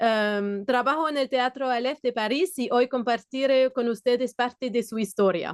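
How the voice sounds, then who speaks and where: A woman with a non-native accent and a high pitch, at a moderate pace with hardly any pauses and ordinary pitch variation, in a dry, close sound with no echo and a quiet background. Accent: foreign accent in Spanish. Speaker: theatre worker. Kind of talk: conference presentation. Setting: video call.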